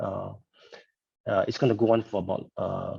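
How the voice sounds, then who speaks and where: This man's very slow speech sits at a medium pitch and has a dark, mellow tone. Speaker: artist and lecturer. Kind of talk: lecture. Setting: video call. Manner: halting, many fillers.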